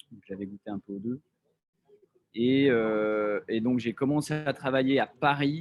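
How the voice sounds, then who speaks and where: A man speaks at a medium pitch and a fairly slow pace, with ordinary pitch variation. His loudness swings widely, and he leaves long, frequent pauses. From France, Lyon / Haute-Savoie. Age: 30s. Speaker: entrepreneur, real estate developer. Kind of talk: casual talk about career. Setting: video call. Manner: halting, many fillers.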